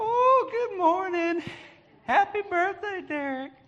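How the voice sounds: The speaker uses a put-on character voice pitched extremely high. The delivery is fairly slow.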